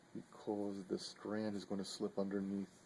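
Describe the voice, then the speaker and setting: A soft-spoken man talks with a fairly low pitch. His tone is dark and mellow. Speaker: knife maker. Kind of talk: tutorial. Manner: halting.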